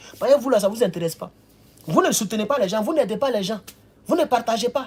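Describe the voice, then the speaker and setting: Speaking at a very fast pace, a man with a high pitch moves through very wide pitch swings. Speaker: political commentator livestreamer. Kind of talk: livestream commentary. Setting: indoors near a window facing the road. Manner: animated.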